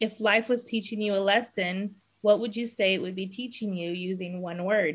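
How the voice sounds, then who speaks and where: A woman talks at a moderate speed, her intonation staying fairly level. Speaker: podcast host. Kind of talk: podcast interview host talk. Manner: hesitant, many fillers. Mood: warm and upbeat. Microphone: webcam.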